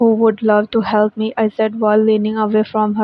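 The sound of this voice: This is an unforced reading voice. It comes across that way throughout.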